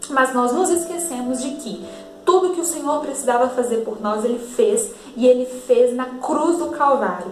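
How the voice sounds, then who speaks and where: There is noticeable background noise and audible room echo as a woman talks at a high pitch with lively intonation. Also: moderate pace. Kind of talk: devotional Bible teaching.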